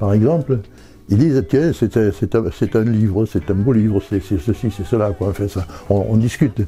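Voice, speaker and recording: A man talks at a moderate pace in a fairly low, somewhat breathy voice with a dark, mellow tone and ordinary pitch variation. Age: 80s+. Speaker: writer. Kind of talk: interview. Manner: halting, many repetitions.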